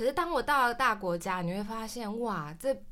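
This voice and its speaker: The voice has a bright, sharp tone and swings very widely in pitch. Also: woman. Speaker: traveler, cram school teacher. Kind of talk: interview chat.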